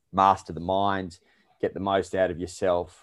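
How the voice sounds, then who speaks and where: Against a quiet background, a man with an Australian accent talks in a very deep, low voice. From Australia, Melbourne. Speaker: performance and lifestyle coach. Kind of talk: podcast interview.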